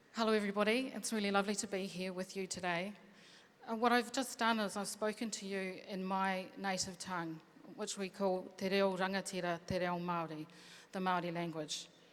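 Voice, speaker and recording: A woman's fairly quick speech at a medium pitch, with fairly even intonation. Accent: New Zealand. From New Zealand. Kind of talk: panel talk.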